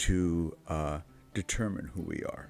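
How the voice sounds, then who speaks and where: Over music in the background, a man with an American accent speaks at a very slow pace in a very deep, low pitch. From mixed: Chicago, Cairo, Paris, London, New York, Bahrain. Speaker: church youth servant. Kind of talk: podcast interview. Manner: halting, many fillers.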